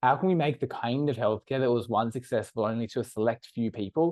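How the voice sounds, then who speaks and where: Speaking with an Australian accent, a man talks at a very fast pace in a medium pitch with ordinary pitch variation. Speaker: startup co-founder. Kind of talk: podcast interview.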